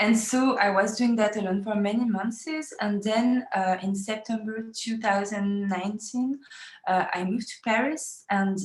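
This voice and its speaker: Behind noticeable background noise, a woman with a French accent speaks at a medium pitch. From France. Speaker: feminist activist. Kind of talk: interview. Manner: halting, many fillers.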